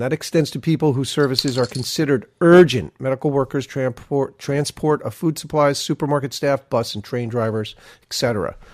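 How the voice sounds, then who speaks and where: With an American accent, a man with an ordinary speaking voice talks at a medium pitch with ordinary pitch variation and hardly any pauses, the sound dry and close with no echo. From New York area. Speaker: podcast co-host. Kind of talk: casual chat. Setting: video call.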